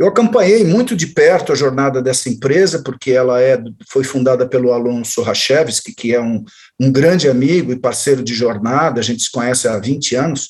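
A man's plain, everyday voice at medium pitch, with ordinary pitch variation and a moderate pace. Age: 60s. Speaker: journalist and marketing consultant. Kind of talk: interview.

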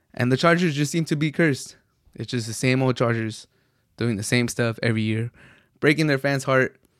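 At a fairly quick pace, a man speaks with an American accent in an unremarkable speaking voice, medium in pitch with ordinary pitch variation. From US, Mexican household. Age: 20s. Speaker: sports podcast host. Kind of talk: solo sports commentary monologue. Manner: casual, some filler words.

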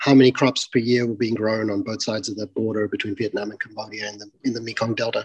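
Speaking at a fairly quick pace with an Australian accent, a man is heard in a dry, close sound with no echo. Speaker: tech company CEO. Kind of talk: interview.

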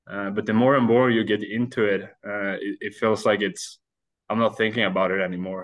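Speaking at a fairly quick pace, a man with a Swedish accent uses a fairly low pitch and fairly even intonation. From Sweden. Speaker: ice hockey goaltender. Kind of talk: interview. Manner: halting.

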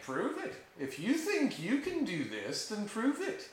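A man puts on a character voice at an extremely high pitch, speaking at a fairly slow pace with a slight echo. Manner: cackling, laughing, taunting.

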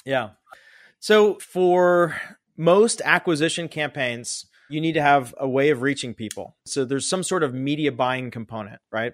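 In a very clean recording with a silent background, a man with an American accent has an unremarkable speaking voice, fairly high in pitch with lively intonation. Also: moderate pace. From Pittsburgh, Pennsylvania. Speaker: fundraising consultant and company founder. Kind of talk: interview conversation. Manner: casual.

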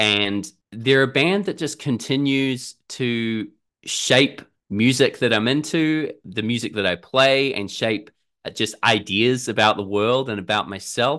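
A man with a New Zealand accent at medium pitch, with a bright, sharp tone, ordinary pitch variation and a fairly slow pace, over a quiet background. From New Zealand, Auckland. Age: 30s. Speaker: musician and gig reviewer. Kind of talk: casual chat.

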